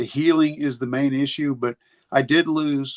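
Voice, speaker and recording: With an American accent, a man speaks at fairly high pitch, with fairly even intonation and a fairly slow pace. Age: 60s. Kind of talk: interview answer.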